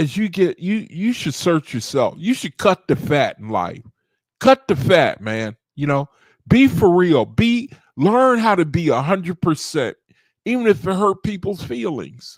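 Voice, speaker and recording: Speaking at a fairly slow pace, a man with a high voice swings his pitch very widely, and the sound is dry and close with no echo. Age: 60s. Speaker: study group leader. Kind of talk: casual talk.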